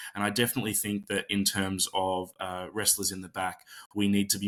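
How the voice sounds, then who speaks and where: Here a man with an Australian accent has a fairly low pitch and a bright, sharp tone. He keeps a moderate pace with monotone, flat intonation. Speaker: pro wrestler and magician. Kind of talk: interview. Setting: video call. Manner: soft-spoken.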